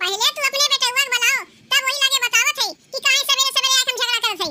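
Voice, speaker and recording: Squeaky and extremely high-pitched, a woman rattles off a cartoonish character voice at a very fast pace with very even loudness. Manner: loud, threatening, argumentative.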